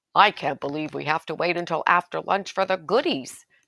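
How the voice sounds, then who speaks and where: A raspy, put-on character voice at middle pitch races along at a fairly quick pace in a very clean recording with a silent background. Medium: read story.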